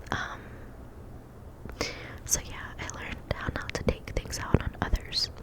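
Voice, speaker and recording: Whispering at a fairly slow pace amid noticeable background noise. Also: woman. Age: 20s. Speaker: ASMR creator. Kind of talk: whispered ASMR ramble giving advice. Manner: whispered, soft-spoken, relaxing.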